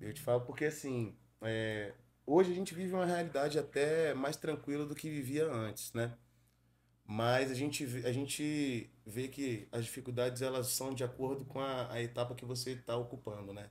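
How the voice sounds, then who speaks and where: Ordinary pitch variation marks this man's medium-pitched voice, delivered at a moderate pace. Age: 30s. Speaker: pagode singer; podcast guest. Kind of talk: casual interview chat. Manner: casual, slangy. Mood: relaxed, reflective. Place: studio. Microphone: studio mic.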